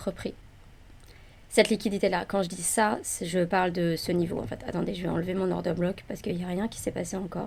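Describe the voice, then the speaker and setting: Calm and relaxed in tone, a woman speaks at a fairly quick pace and medium pitch. Vocal fry runs through her voice. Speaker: day trader. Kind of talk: live trading commentary. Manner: calm, relaxed; hesitant, with fillers.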